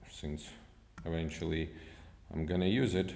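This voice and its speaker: A man speaks with a non-native accent. The room echo is audible. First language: not English. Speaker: software developer. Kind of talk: tutorial. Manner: halting.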